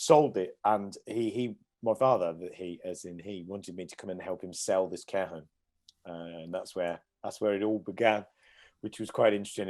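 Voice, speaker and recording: A fairly low male voice with a Midlands accent. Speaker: care home company director. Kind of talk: podcast interview.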